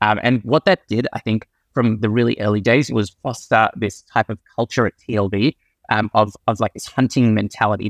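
Against a quiet background, a man speaks at a medium pitch with fairly even intonation in a dry, close sound with no echo. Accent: Australian. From Australia. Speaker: venture capital investor. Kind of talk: interview. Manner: hesitant, many fillers.

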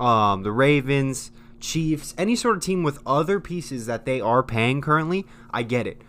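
A man with an American accent at medium pitch, animated in tone, lively in intonation, and fairly slow in pace. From US, not the South. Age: 20s. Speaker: podcast co-host. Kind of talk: casual chat.

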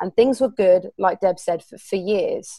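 With a southern English accent and a dark, mellow tone, the voice sounds dry and close with no echo in a very clean recording with a silent background. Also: woman. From southern England. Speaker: co-host.

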